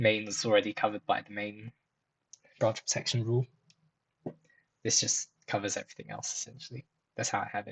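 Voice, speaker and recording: A man's fairly low voice with vocal fry, fairly quick yet broken by long, frequent pauses, monotone and flat in intonation, with big swings in loudness and a dry, close sound with no echo. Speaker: software developer YouTuber. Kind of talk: screen-share coding tutorial. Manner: fast; casual, many fillers.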